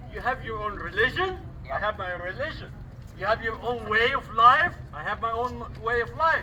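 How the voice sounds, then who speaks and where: Noticeable background noise accompanies a man speaking with a non-native accent. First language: not English. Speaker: rally speaker. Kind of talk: public speech.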